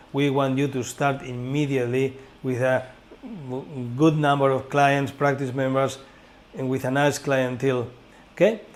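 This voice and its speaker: Speaking with a Spanish accent, a man of medium pitch keeps a moderate pace and a monotone, flat intonation, leaving long, frequent pauses. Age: 60s. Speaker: school director and teacher. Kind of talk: informational course presentation.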